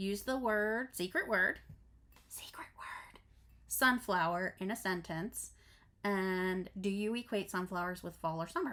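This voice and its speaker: A woman with a medium-pitched, bright and sharp voice speaks fairly slowly, her pitch varying in an ordinary way. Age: 40s. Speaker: crafting vlogger. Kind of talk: casual vlog chat. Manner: stumbling over words.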